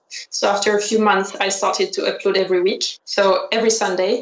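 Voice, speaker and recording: A woman with a French accent speaks at a fairly quick pace. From France. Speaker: fashion designer and YouTuber. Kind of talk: interview.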